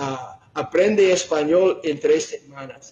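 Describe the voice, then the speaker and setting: Delivery is extremely unhurried. The pitch rises and falls by an ordinary amount. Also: man. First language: not Spanish (speaking Spanish). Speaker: preacher. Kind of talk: sermon. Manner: halting, with fillers and self-corrections.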